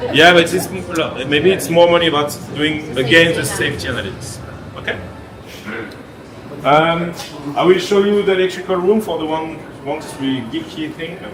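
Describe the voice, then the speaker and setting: Speaking in a French accent at a moderate pace with ordinary pitch variation, the voice leaves long, frequent pauses amid audible room echo and noticeable background noise. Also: man, high pitch for a man. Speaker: theme park engineer. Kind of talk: behind-the-scenes tour explanation. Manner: halting, with frequent hesitations.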